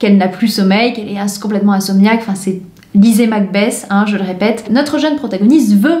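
The speaker simply reads a text aloud in a plain manner.

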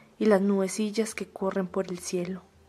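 A woman's medium-pitched voice stays monotone and flat as she speaks at a fairly slow pace. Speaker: audiobook narrator. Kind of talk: poetry reading.

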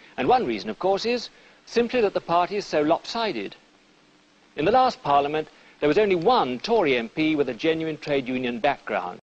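Someone with a British accent talks at a fairly quick pace with very wide pitch swings. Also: man, fairly high pitch for a man. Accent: British, old-fashioned received pronunciation. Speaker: politician speaking to camera in a party election broadcast. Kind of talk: political election broadcast, talking to camera.

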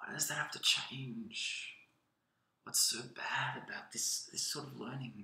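Whispering at a fairly slow pace, a man speaks with big swings in loudness. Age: 20s. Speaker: spoken word poet. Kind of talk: spoken word poem performance, impassioned and rhythmic. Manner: energetic, animated, emphatic; repetitive, halting restarts. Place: home room. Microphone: webcam.

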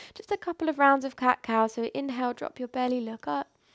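Against a quiet background, a soft-spoken woman with a gentle tone and a high pitch talks with lively intonation. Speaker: yoga instructor. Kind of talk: guided mindful movement class, like a guided meditation. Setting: video class, home studio. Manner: soft, slow, soothing and calm; gentle, encouraging, unhurried with pauses. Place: home room.

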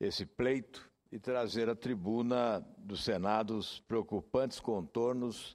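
A man's fairly low voice at a very slow pace against a quiet background. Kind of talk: formal parliamentary speech. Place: hall. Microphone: podium.

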